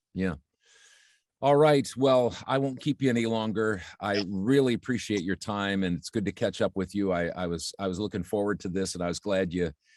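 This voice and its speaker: A man with an unremarkable speaking voice talks at a moderate pace, his pitch fairly low with ordinary variation. The sound is dry and close with no echo, over a quiet background. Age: 60s. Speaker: voiceover artist and marketing coach. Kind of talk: interview.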